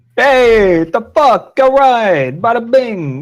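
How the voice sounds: In a put-on character voice, a man speaks extremely high and very slowly, with lively intonation. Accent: New York.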